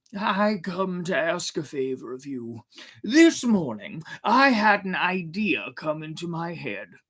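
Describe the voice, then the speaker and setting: A man uses a put-on character voice with a high pitch. He speaks at a fairly slow pace. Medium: read story. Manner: lively, fiery.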